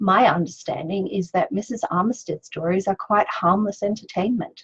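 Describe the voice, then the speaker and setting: In an Australian accent, a woman with a medium-pitched, somewhat breathy voice talks at a fairly slow pace with fairly even intonation, in a dry, close sound with no echo. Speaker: author. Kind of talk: reading aloud; casual chat. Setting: video live stream.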